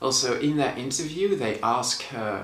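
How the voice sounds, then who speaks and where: Over audible room echo and noticeable background noise, a man speaks at a fairly slow pace with a Dutch accent. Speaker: movie reviewer. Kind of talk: casual vlog review. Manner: casual, conversational.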